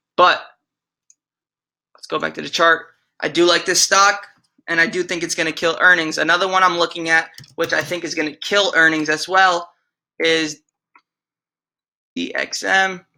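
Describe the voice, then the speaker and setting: Long, frequent pauses break up the speech on a very clean recording with a silent background. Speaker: stock trading youtuber. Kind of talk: stock watchlist tutorial. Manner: fast.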